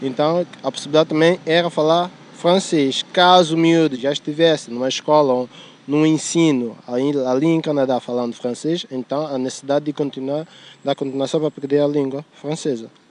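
A man talks at a moderate pace in a fairly high pitch. It is an unremarkable speaking voice with fairly even intonation. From São Tomé and Príncipe. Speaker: student. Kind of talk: street interview. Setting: outdoors in a city park.

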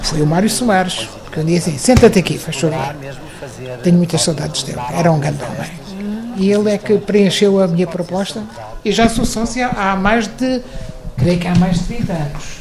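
Lively intonation with audible room echo and noticeable background noise. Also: woman, medium pitch for a woman, moderate pace. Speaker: former mayor. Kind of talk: interview testimony.

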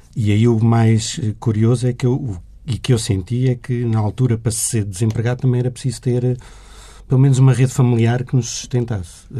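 A man speaks at a fairly quick pace with a medium pitch and fairly even intonation. His tone is dark and mellow, and somewhat breathy. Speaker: journalist. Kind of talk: interview conversation.

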